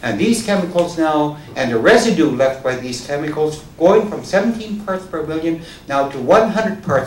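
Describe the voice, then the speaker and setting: Noticeable background noise and audible room echo surround a man's voice. He talks at a moderate pace with very wide pitch swings. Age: 70s. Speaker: farmer. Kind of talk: public talk.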